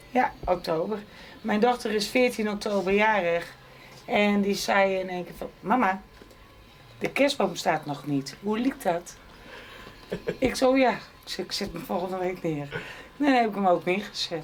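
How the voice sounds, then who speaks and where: The speech moves at a fairly slow pace with lively intonation and long, frequent pauses. Noticeable background noise runs underneath. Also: woman, medium pitch for a woman. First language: not Frisian speaker; speaks Dutch (speaking Dutch). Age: 60s. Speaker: interviewee, wife and carer. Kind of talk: casual chat.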